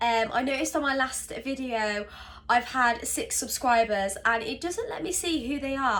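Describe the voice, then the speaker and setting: Woman with a high pitch and a British accent. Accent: English (UK). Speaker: vlogger. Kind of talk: casual vlog talk to camera. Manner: hesitant, many fillers.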